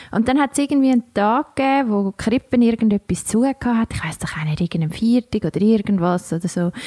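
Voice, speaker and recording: With lively intonation and a fairly high pitch, a woman speaks at a fairly quick pace, the sound dry and close with no echo despite noticeable background noise. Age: 30s. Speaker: podcast co-host. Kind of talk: casual chat.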